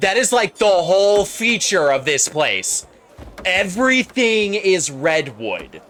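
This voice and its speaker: Lively intonation and a high pitch mark this man's very slow speech. His loudness is very even, with noticeable background noise behind him. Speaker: video game streamer. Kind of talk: casual live stream commentary. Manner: loud, yelling at times; animated.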